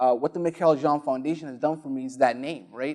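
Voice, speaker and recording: A man speaks fairly quickly with a Somali accent and a fairly high pitch. His tone is dark and mellow, and his intonation is monotone and flat. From Somalia. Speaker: spoken word poet and arts entrepreneur. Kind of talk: panel discussion on stage. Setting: stage with audience.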